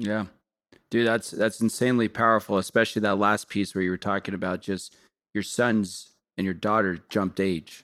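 Over a very clean, silent background, a man speaks at fairly low pitch. His pace is moderate and his intonation monotone and flat. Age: 30s. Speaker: podcast host. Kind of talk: interview.

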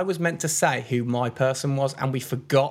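This man, with an English Midlands accent, has a fairly high pitch, ordinary pitch variation, and a somewhat breathy sound. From Midlands England. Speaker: podcast co-host. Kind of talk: casual chat.

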